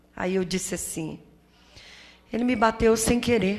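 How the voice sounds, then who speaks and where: A woman speaks with a fairly high pitch. Her voice carries audible room echo. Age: 60s. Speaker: community association leader, domestic violence survivor. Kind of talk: testimony at a seminar. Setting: auditorium with audience.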